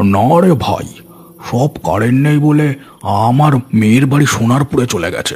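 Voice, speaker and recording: A man speaks in a cartoonish character voice with a fairly high pitch. His pace is moderate. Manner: rustic, fatherly.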